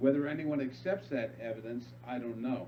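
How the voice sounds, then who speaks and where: Noticeable background noise runs behind a man speaking in a medium pitch. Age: 60s. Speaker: guest speaker on UFO contact experiences. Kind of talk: interview monologue. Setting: online radio show with screen sharing. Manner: halting, many fillers.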